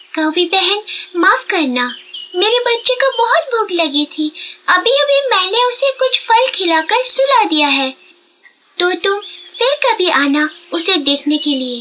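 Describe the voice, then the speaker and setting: In a cartoonish character voice, a woman speaks at an extremely high pitch with very wide pitch swings, very even loudness and a fairly slow pace. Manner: earnest, slightly anxious.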